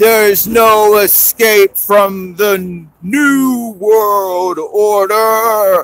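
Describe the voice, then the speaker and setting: Putting on a growling character voice, a man speaks at a high pitch and a very slow pace. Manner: growling, menacing.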